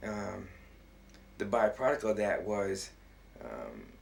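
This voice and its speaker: A man talks at a very slow pace. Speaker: self-styled monarch of a sovereign group. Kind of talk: personal monologue. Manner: halting, many fillers.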